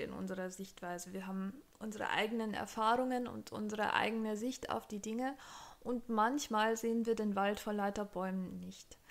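Her intonation fairly even, a woman talks at a moderate pace. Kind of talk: advice vlog talk. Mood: warm, encouraging. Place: home room. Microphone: studio mic.

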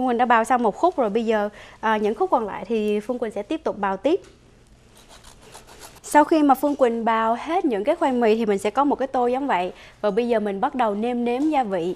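Speaking at a fairly quick pace, a woman has a fairly high pitch, ordinary pitch variation and a slightly mellow tone.

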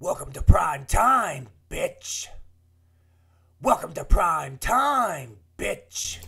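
A man's raspy, put-on character voice at a very slow pace, broken by long, frequent pauses. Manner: menacing, taunting.

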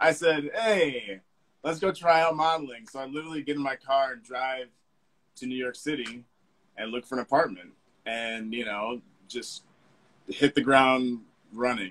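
At a moderate pace, a man talks with ordinary pitch variation, long and frequent pauses, and big swings in loudness. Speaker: fashion model; interview guest. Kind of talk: casual chat. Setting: video call. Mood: relaxed, friendly. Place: home room. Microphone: video call.

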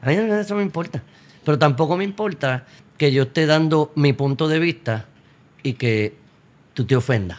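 A man with very wide pitch swings. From Puerto Rico. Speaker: priest guest. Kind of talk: casual interview. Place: studio. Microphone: studio mic.

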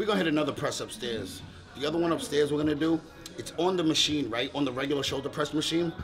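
Over clear music in the background, a man talks at a very fast pace with ordinary pitch variation. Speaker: fitness vlogger. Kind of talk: casual vlog chat. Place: gym. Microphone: camera far.

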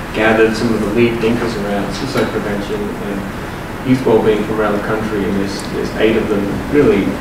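Amid loud background noise and audible room echo, a man talks at a fairly quick pace. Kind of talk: meeting remarks. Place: meeting room. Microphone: camera far.

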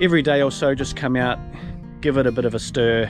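Over clear music in the background, a man speaks at a fairly quick pace in a dry sound with no echo. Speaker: outdoors how-to host. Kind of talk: tutorial. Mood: relaxed, matter-of-fact. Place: open country. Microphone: phone near.

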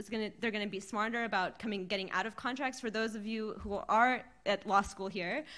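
A woman speaks at a fairly high pitch. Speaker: fashion activist and writer; speaker. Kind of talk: panel discussion. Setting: stage with audience. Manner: animated, casual. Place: classroom. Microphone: podium.

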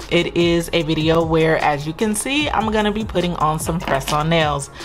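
A woman's fairly low voice with clear music in the background. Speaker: budget channel host. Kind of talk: casual vlog chat. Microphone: camera far.

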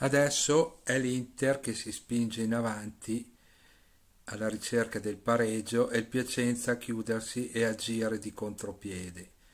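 Here is a man with a normal speaking voice and a medium pitch. He talks at a fairly slow pace with fairly even intonation. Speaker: football commentator.

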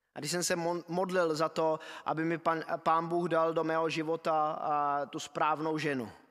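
A man speaks in a plain, everyday voice at a fairly high pitch, his intonation fairly even, over a quiet background. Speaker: preacher. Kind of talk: sermon. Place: church. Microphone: podium.

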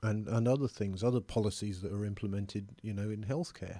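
The voice has a dark, mellow tone and a dry sound with no echo. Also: man. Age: 50s. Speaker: member of the public giving his views. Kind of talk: personal opinion monologue. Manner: hesitant, conversational. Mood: earnest, concerned, reflective. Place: home room. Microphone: studio mic.

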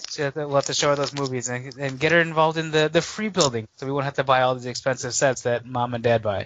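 A man with an American accent talks at a very fast pace with hardly any pauses, his medium pitch showing ordinary variation over noticeable background noise. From Chicago, US Midwest. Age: 30s. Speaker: toy collector guest. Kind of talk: casual chat.

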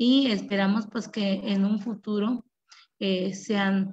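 A woman speaks at a very slow pace with fairly even intonation and a somewhat breathy quality. Behind her the background is quiet. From La Chinantla, Oaxaca, Mexico; Oaxaca, Mexico. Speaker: rural school teacher and principal; teacher presenting school project. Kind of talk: presentation. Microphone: video call.

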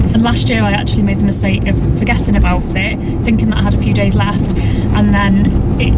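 A woman at a fairly quick pace against loud background noise. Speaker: vlogger. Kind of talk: casual vlog chat. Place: car. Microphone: phone near.

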